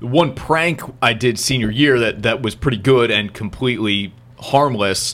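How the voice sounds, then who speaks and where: A man with an American accent has an unremarkable speaking voice. He talks at a moderate pace and medium pitch with ordinary pitch variation. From New Jersey. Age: 30s. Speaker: podcast host. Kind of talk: casual chat.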